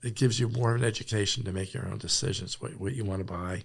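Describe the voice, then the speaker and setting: Here a man speaks at a very fast pace with ordinary pitch variation. His fairly low voice is somewhat breathy. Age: 70s. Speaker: farmer. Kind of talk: interview. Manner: halting.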